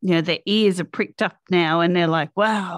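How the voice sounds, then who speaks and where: With an Australian accent, a woman speaks in a dry, close sound with no echo. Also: very clean recording, silent background. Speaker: podcast host. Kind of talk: reading guest introduction; interview podcast.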